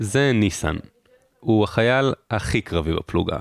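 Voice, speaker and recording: A man with a normal speaking voice talks fairly slowly at a fairly low pitch, with lively intonation. The sound is dry and close, without echo. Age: 20s. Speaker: podcast host, army reservist. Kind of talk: personal narration.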